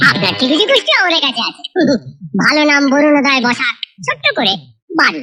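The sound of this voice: A cartoonish character voice with a bright, sharp tone, big pitch swings and a fast pace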